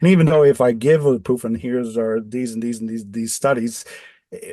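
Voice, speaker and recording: Speaking at a moderate pace with a Dutch accent, a man uses a medium pitch and ordinary pitch variation. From Netherlands. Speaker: electrosensitive off-grid designer. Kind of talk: podcast interview. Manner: halting, many repetitions.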